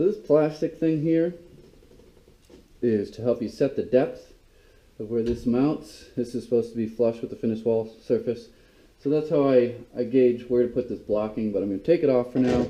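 A man talks at a moderate pace with a dark, mellow tone and ordinary pitch variation. He leaves long, frequent pauses. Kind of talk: tutorial. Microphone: camera far.

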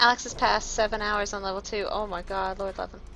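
The tone is animated and the pace fairly quick. Noticeable background noise can be heard. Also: woman. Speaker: gaming streamer. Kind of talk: live gameplay commentary. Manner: fast talker.

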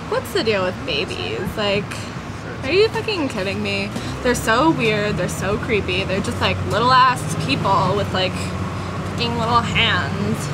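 Against loud background noise, a woman speaks at a fairly slow pace. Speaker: comic travel vlog character. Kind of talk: casual vlog chat. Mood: whiny, bored, complaining. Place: bus. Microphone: camera far.

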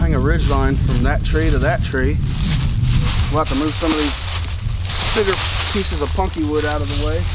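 A man at a moderate pace, dry with no echo, over loud background noise. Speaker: bushcraft vlogger. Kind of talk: casual vlog chat. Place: forest. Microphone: phone near.

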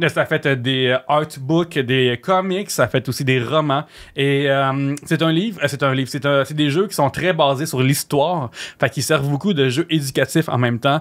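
Against a quiet background, a man talks fairly slowly at a fairly high pitch with ordinary pitch variation and hardly any pauses. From Quebec. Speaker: gaming podcast host; podcast host. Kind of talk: casual chat. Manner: animated. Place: studio. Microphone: studio mic.

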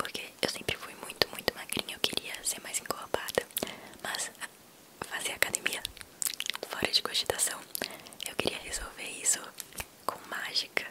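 Whispering at a moderate pace, a woman speaks with long, frequent pauses. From Brazil, Minas Gerais. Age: young. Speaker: ASMR creator. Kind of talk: ASMR personal talk. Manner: whispered, soft-spoken. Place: home room. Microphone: studio mic.

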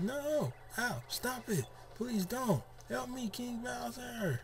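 A man uses a put-on character voice with a high pitch at a very slow pace, with clear background noise. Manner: pleading, crying out in pain.

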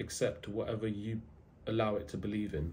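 A man's somewhat breathy voice moves along at a moderate pace. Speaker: self-improvement content creator. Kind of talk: casual motivational talk to camera. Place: home room. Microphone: phone near.

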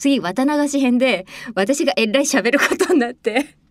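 A woman with a high pitch sounds cheerful and animated over a quiet background. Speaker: voice actress and radio host. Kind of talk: radio show talk, reading a listener message and telling a behind-the-scenes anecdote. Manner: cheerful, chatty, animated. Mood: friendly, chatty reminiscing. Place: studio. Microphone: studio mic.

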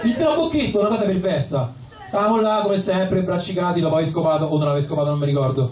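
A man's high-pitched, slightly mellow voice, fast and lively in intonation, with audible room echo

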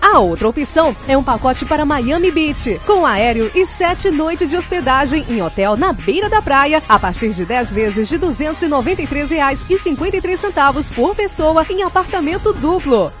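A woman talks at a moderate pace with hardly any pauses, her high pitch making very wide swings. Music plays in the background. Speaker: voiceover announcer. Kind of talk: TV commercial read.

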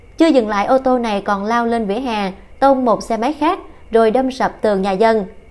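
A woman talks at a moderate pace with a fairly high pitch and ordinary pitch variation. She has an ordinary speaking voice. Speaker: news reader. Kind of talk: news reading.

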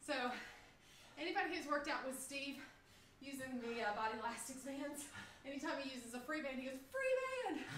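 A woman with a high pitch and ordinary pitch variation speaks at a fairly quick pace, with audible room echo and light background noise. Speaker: fitness instructor. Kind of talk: live group workout coaching, shouted interval cues. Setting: video call livestream. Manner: high-energy, pushing and urging; upbeat, laughing banter with co-coach. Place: home room. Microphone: camera far.

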